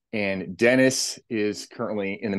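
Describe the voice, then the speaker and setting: An unremarkable speaking voice from a man, fairly low in pitch with ordinary pitch variation, in a quiet background. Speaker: podcast host. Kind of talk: podcast interview questions.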